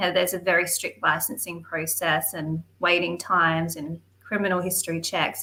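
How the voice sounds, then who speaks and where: A woman with an Australian accent speaks at a moderate pace with hardly any pauses, her fairly low pitch carrying a bright, sharp tone and fairly even intonation. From Western Australia. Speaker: political activist. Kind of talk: casual interview chat.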